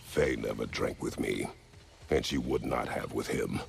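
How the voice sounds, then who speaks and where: A man speaks in a put-on character voice at a moderate pace. Clear background noise runs behind him. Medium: short film. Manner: terse, formal, grave.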